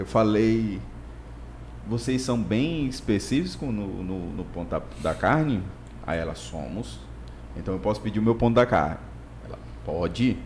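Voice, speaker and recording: A man speaks over noticeable background noise. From Imperatriz, Maranhão, Brazil. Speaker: mechanical engineer and business consultant. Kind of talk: casual chat.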